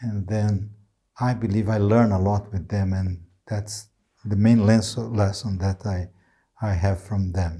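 A man with a Brazilian accent speaks very slowly at a fairly low pitch, in a monotone, flat intonation. His tone is dark and mellow and somewhat breathy, over a quiet background. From Brazil, inner region. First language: Portuguese. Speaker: neurology professor. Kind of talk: interview. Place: studio. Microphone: lapel.

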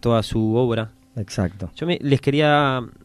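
A man speaks at a very slow pace with ordinary pitch variation, the sound dry with no echo. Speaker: radio host. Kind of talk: radio talk about a poet. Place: studio.

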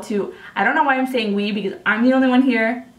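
An American accent over noticeable background noise. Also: woman. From Upstate New York. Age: 20s. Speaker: makeup artist. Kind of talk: voice-over narration of a makeup video. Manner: casual, chatty.

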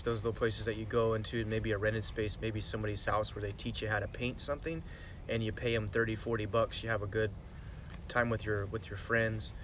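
A man with vocal fry at a fairly quick pace, dry with no echo, over light background noise. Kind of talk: casual vlog chat. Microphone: phone near.

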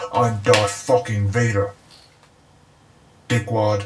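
A put-on character voice speaks at a very slow pace with a low pitch. The intonation is monotone and flat. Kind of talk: comedy skit. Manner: irritable, swearing.

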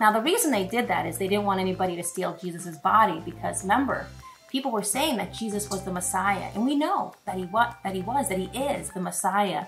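Over faint music in the background, a woman talks at a fairly quick pace with ordinary pitch variation. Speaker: presenter. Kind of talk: cooking demo with Bible lesson for kids. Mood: warm, encouraging. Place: kitchen.

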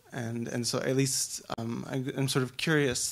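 A man speaks at a fairly slow pace, his intonation fairly even. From US, Irish American. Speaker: audience member. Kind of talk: audience question. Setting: stage with audience. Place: hall.

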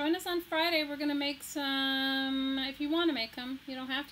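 Talking at a fairly quick pace, a woman with an American accent keeps a high pitch and fairly even intonation. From Texas, near Galveston. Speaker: crafting YouTuber. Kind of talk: live stream craft tutorial and chat. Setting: live stream at home desk. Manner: casual, chatty.

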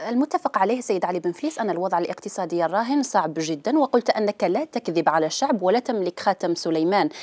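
A woman with a medium-pitched voice speaks at a moderate pace, her pitch swinging very widely, over a quiet background. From Algeria. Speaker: TV interviewer. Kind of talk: political interview. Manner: formal. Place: studio. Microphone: lapel.

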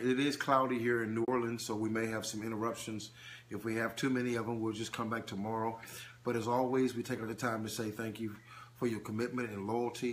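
Over light background noise, a man speaks at a fairly quick pace. His intonation stays monotone and flat. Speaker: preacher. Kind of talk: live-stream teaching. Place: home room. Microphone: phone near.

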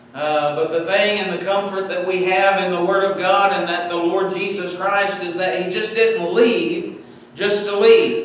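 A man with a high voice speaks fairly slowly and with fairly even intonation, amid strong room echo and light background noise. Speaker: pastor. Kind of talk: sermon. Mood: warm, earnest. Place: church. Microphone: podium.

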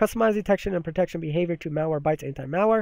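A man talks in a high pitch with ordinary pitch variation. The sound is dry and close with no echo, on a very clean recording with a silent background. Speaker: tech reviewer. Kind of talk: software tutorial review. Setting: screen recording voiceover. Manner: filler-heavy, casual.

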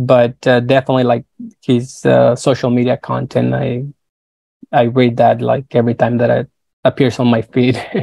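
A man with a Spanish accent speaks at a moderate pace in a dark, mellow tone with monotone, flat intonation. The background is quiet and the sound is dry with no echo. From northern Mexico, Nogales, Sonora; Sonora, Mexico. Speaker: creative consultant and designer; guest. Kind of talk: interview. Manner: halting, many fillers. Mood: friendly, relaxed. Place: home room. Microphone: earbuds.

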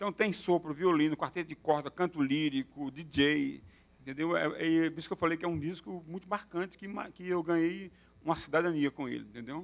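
Fairly even intonation from a man, at a fairly quick clip. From Paraíba, Brazil. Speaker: poet and noise artist; poet. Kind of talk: talk with performance. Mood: relaxed, reflective. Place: hall. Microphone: handheld.

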